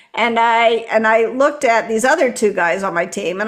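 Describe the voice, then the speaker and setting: A woman with an American accent. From US South, Memphis Tennessee. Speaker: author and leadership coach. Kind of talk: podcast interview.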